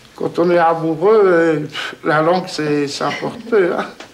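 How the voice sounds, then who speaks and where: A high-pitched man with a Polish accent, speaking at a very slow pace over noticeable background noise. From Poland. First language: Polish (speaking French). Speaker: villager, father of large family. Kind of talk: interview testimony. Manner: halting.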